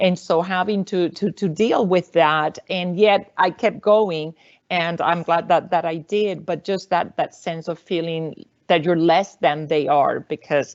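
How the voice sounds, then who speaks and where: With a Puerto Rican accent, the speaker goes at a fairly slow pace with ordinary pitch variation. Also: woman. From Puerto Rico, rural countryside. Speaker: university faculty member, panelist. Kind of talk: panel discussion.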